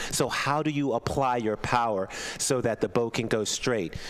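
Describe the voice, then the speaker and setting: A man speaks with an American accent. Background noise is noticeable throughout. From US Mid-Atlantic. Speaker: rowing commentator. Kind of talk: live commentary.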